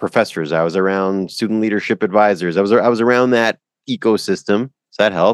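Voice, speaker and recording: Over a quiet background, a man with a Canadian accent shows ordinary pitch variation in a dry, close sound with no echo. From Canada. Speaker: professional speaker and coach. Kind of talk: casual interview chat.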